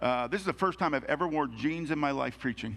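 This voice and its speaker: Here a man talks at a very fast pace in a fairly high pitch. His voice has vocal fry. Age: 60s. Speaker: pastor. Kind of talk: sermon.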